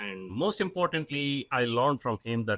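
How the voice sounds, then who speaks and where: A man's medium-pitched voice at a moderate pace, bright and sharp in tone, dry and close with no echo, on a very clean recording with a silent background. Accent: Indian. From South India. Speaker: business owner, CEO. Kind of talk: podcast interview. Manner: hesitant, many fillers.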